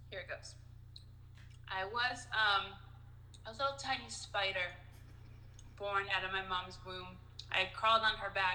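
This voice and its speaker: A bright, sharp voice moves at a fairly slow pace with long, frequent pauses and fairly even intonation, in audible room echo. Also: woman, medium pitch for a woman. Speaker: comedian. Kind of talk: casual chat.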